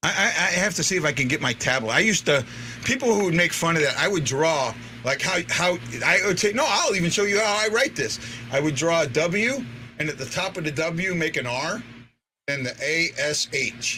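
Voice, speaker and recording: This man speaks at a fairly quick clip in a high pitch, with very wide swings in his pitch. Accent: American. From St. Louis, Missouri (North St. Louis). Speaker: sports fan show host. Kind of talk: casual chat. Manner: halting, repeats words.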